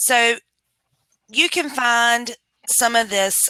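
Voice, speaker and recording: A woman with a North Carolina accent speaks in a bright, sharp tone with ordinary pitch variation, the sound dry and close with no echo. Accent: Southern US (North Carolina). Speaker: public health administrative and financial consultant. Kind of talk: webinar presentation. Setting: video call. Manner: loud.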